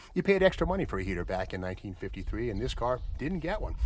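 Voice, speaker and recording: Talking at a very fast pace, a man sounds enthusiastic, with very wide pitch swings and vocal fry. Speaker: auction company car presenter. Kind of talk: casual car walkaround narration to camera. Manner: conversational, enthusiastic.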